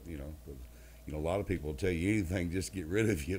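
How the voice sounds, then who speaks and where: A man's voice has a dark, mellow tone with vocal fry. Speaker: country singer. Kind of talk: interview answer.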